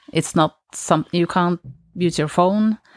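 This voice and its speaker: In a Norwegian accent, a woman speaks at a fairly low pitch with fairly even intonation, the sound dry and close with no echo on a very clean recording with a silent background. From Norway. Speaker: polar explorer. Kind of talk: interview. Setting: studio.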